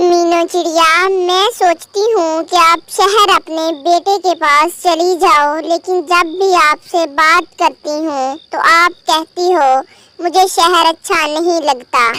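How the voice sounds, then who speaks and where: A woman's cartoonish character voice at an extremely high pitch, very slow, with very even loudness and fairly even intonation. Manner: warm, advising.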